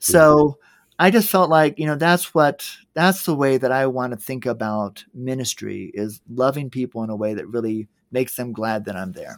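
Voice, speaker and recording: In a very clean recording with a silent background, a man with a plain, everyday voice and medium pitch talks at a moderate pace, his intonation lively and his loudness swinging widely. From US South, Georgia. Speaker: entrepreneur and nonprofit founder. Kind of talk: casual interview chat.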